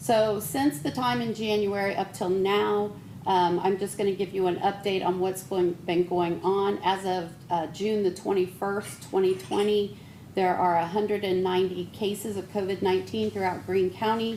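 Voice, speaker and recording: Audible room echo surrounds a woman's dark, mellow voice at medium pitch, delivered at a moderate pace with fairly even intonation. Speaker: public health official. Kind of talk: presentation to city council. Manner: soft-spoken. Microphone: too quiet.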